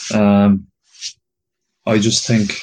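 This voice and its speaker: A man speaks with an Irish accent. The background is quiet. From Ireland. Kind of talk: casual chat.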